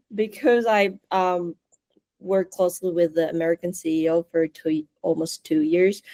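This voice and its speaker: A woman with a Japanese accent is heard in a dry, close sound with no echo. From Osaka, Japan. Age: 20s. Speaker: interview guest. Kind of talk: casual interview. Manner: code-switching between English and Japanese.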